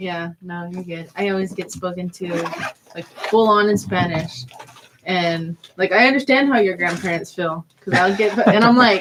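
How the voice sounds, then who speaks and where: A woman with a plain, everyday voice and an American accent talks at a moderate pace and medium pitch, with ordinary pitch variation and big swings in loudness. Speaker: college student radio host. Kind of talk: casual chat.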